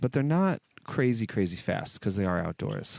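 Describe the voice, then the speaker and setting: A man with an American accent speaks in a relaxed tone at a moderate pace, his fairly low voice swinging very widely in pitch. The sound is dry and close with no echo. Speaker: shuffleboard commentator and channel host. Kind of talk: live commentary. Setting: outdoors at shuffleboard courts. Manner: casual, relaxed.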